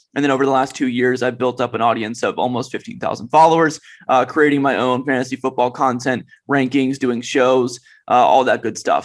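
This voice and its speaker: At a fairly quick pace and medium pitch, a man talks with fairly even intonation in a normal speaking voice. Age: 20s. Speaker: fantasy football analyst. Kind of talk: podcast interview.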